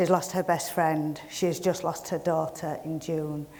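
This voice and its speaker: In a Yorkshire accent, a woman speaks at a fairly low pitch with monotone, flat intonation, and the room echo is audible. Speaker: community project manager. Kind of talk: welcome speech. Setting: stage with audience.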